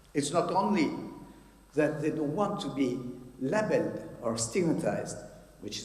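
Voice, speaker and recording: A man with a strong French accent speaks at a moderate pace, his fairly high pitch swinging very widely. Noticeable background noise and audible room echo are present. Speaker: psychiatrist. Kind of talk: conference talk. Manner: halting.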